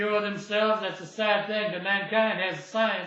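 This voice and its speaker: The voice is raised and projected, bright and sharp in tone, and moves at a moderate pace. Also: man. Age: 60s. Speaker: independent anti-aging researcher. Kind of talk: casual talk to camera.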